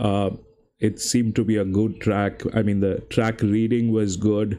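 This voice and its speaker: With a non-native accent, a man of medium pitch speaks in a dark, mellow tone at a moderate pace over a quiet background. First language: not English. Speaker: horse racing tipster streamer. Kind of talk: live stream commentary and chat. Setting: live stream.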